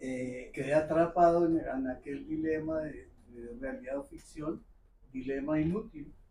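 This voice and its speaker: Speaking at a fairly slow pace, a man with a fairly high pitch and a dark, mellow tone uses lively intonation and big swings in loudness. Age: 70s. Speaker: audience member asking a question. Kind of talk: public Q&A comment. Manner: halting.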